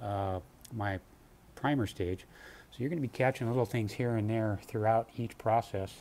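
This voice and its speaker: There is light background noise as a man speaks at a moderate pace. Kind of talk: tutorial. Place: garage. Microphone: phone near.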